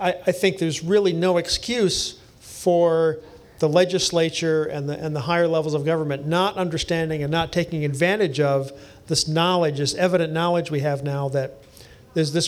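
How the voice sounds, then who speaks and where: A man with an American accent speaks in a plain, everyday voice. His fairly high pitch holds a fairly even intonation at a moderate pace. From US East Coast. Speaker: engineering professor. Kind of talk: panel discussion before live audience. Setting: basement bar venue with live audience.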